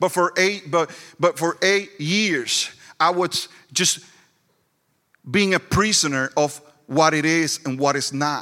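Speaking at a very slow pace with long, frequent pauses, a man in a strong Puerto Rican accent uses a fairly high pitch, a bright, sharp tone and ordinary pitch variation. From Puerto Rico. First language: Spanish. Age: 40s. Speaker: pastor. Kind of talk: sermon. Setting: church with live audience.

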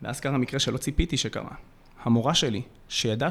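A man talks at a moderate pace. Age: 20s. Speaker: youth mentor and podcast co-host. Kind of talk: personal storytelling.

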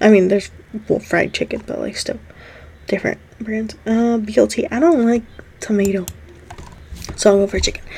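The speaker is a woman. Her pitch is medium. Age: 20s. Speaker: podcast host. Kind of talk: casual solo chat. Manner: animated.

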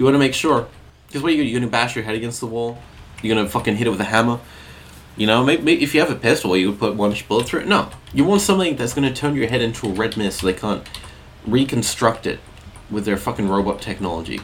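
A man speaks at a very fast pace with ordinary pitch variation against noticeable background noise. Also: medium pitch for a man. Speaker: solo podcast host. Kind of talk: casual monologue.

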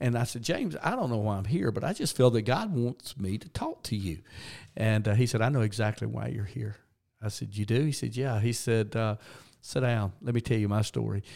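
On a very clean recording with a silent background, a man with a Southern US accent speaks with ordinary pitch variation. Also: medium pitch for a man, fairly quick pace. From US South, Georgia. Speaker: retired senior pastor, now develops pastors. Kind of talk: interview conversation.

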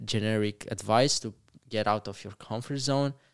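At a fairly slow pace, a man with a Romanian accent speaks with medium pitch and fairly even intonation on a very clean recording with a silent background. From Romania, Moldova region (Bacau area). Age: 20s. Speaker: entrepreneur. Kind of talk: interview. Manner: halting, many repetitions.

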